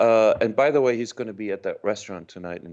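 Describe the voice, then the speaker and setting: Against a quiet background, a man talks at a very fast pace in a medium pitch. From Germany. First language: German. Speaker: actor. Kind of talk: interview.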